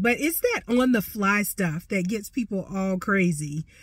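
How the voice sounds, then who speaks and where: A woman speaks at a moderate pace, sounding somewhat breathy. The recording is very clean, with a silent background. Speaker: personal finance coach. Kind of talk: casual tutorial. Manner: conversational, many fillers.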